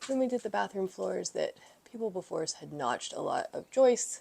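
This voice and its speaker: A woman speaks softly. Her pace is moderate. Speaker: home renovation vlogger. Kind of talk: casual vlog. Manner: quiet, soft-spoken.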